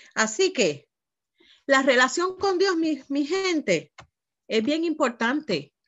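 With a high pitch and lively intonation, a woman talks at a very slow pace, leaving long, frequent pauses. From Puerto Rico. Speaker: pastor; guest pastor preaching. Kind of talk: sermon. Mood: earnest, emotional testimony. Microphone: video call.

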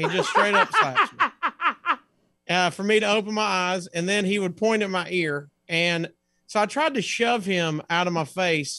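A man with an American accent speaks in a raised, projected voice, his high pitch carrying a bright, sharp tone at a moderate pace against a quiet background. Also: ordinary pitch variation. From US South. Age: 40s. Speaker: comedian. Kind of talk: casual chat. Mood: playful, comedic. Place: home room.

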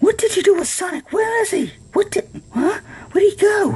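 An extremely high-pitched, put-on character voice talks at a moderate pace.

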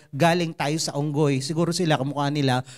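An animated, very fast delivery against a quiet background. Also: man. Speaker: preacher. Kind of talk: sermon. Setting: church. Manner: animated, conversational and humorous, with jokes and mimicked voices; earnest and exhortative, in Taglish. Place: stage. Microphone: handheld.

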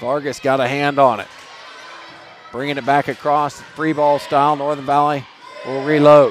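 A man with a fairly high pitch speaks at a moderate pace in a monotone, flat intonation, the sound dry with no echo and faint music in the background. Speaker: volleyball play-by-play announcer. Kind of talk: live sports commentary of a volleyball match. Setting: gym broadcast of a live volleyball game. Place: gym.

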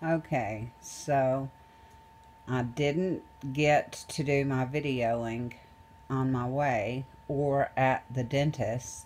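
A woman with a very deep, low pitch speaks at a very slow pace, leaving long, frequent pauses, against noticeable background noise. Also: ordinary pitch variation. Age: 40s. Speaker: video blogger. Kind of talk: casual vlog talk to camera. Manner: halting, with many fillers and laughs.

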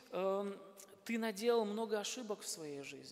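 This man's voice sits high in pitch. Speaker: pastor. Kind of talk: sermon. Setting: church.

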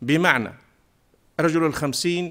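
Against a quiet background, a man speaks at a moderate pace with fairly high pitch and fairly even intonation. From southern Tunisia, Remada; southern Tunisia. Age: 50s. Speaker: parliamentary candidate, teacher; candidate, teacher. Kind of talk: campaign speech. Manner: formal. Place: studio. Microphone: podium.

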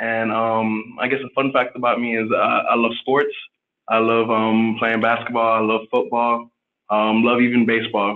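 A man's medium-pitched, monotone voice with flat intonation at a moderate pace against a quiet background. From Miami, Florida. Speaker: medical student; panelist. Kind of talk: panel discussion. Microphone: video call.

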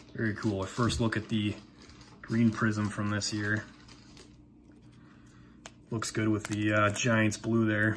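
Over light background noise, a man with a fairly low pitch speaks in a monotone, flat intonation at a fairly slow pace with long, frequent pauses. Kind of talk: casual pack opening commentary. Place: home room. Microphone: phone near.

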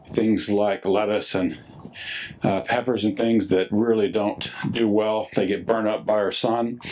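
A man's monotone, flat intonation sits at a fairly low pitch. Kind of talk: casual vlog chat. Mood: relaxed, satisfied. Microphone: phone near.

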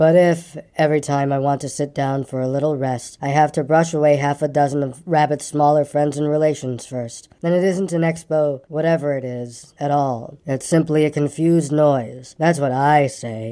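Using a put-on character voice, a man drawls at a moderate pace in a fairly high pitch with hardly any pauses. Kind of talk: bedtime story. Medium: read story. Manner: glum, complaining drawl.

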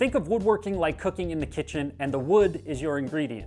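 Faint music is audible behind the voice. A man delivers his words fairly quickly. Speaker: woodworking channel host. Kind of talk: tutorial. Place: workshop.

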